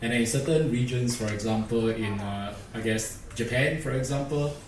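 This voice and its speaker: Audible room echo and light background noise surround this recording. A man speaks at medium pitch with fairly even intonation. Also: moderate pace. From Singapore. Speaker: industry engineer presenter; presenter. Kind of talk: conference presentation. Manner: hesitant, many fillers. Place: hall.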